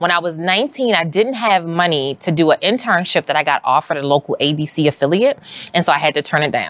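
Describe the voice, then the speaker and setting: With an American accent, a woman talks fairly quickly in an ordinary speaking voice, fairly low in pitch with lively intonation, and the sound is dry and close with no echo. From US, West Baltimore, Maryland. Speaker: journalist and media entrepreneur. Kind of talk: interview conversation. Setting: studio.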